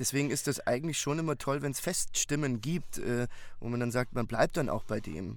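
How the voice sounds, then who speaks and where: A man speaks in an ordinary speaking voice at a moderate pace. His pitch is medium, with ordinary pitch variation. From Bavaria, Munich. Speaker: audiobook narrator. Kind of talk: casual chat. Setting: remote call.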